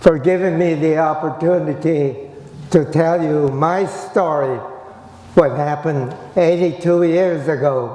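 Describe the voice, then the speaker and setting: With an American accent, a man talks at a fairly slow pace in a fairly high pitch with fairly even intonation. The room echo is audible and the background noise is noticeable. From US West, Gridley, California. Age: 80s+. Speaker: internment survivor and speaker. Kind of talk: personal testimony talk.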